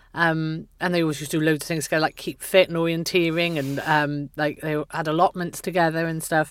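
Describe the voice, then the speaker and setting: Delivery runs at a fairly quick pace. Its intonation stays monotone and flat. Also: woman, very deep, low pitch for a woman, hardly any pauses. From Wales, Pontypool. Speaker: writer. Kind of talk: casual chat.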